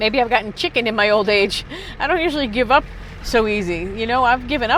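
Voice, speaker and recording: A fairly high-pitched woman with lively intonation at a fairly quick pace, over noticeable background noise. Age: 60s. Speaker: retired screenwriter and full-time van lifer. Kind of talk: casual talk to camera while driving.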